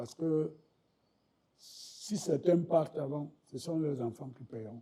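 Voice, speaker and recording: Somewhat breathy and dark, mellow in tone, the speech moves at a very slow pace with ordinary pitch variation and big swings in loudness. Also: man, fairly high pitch for a man. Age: 70s. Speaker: political party official and banker. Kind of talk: interview.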